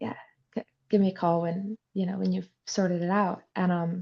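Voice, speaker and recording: Against a quiet background, a woman talks at a fairly quick pace with fairly even intonation and a fairly low pitch. Her somewhat breathy voice has a dark, mellow tone in a dry, close sound with no echo. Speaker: horse trainer. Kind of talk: interview.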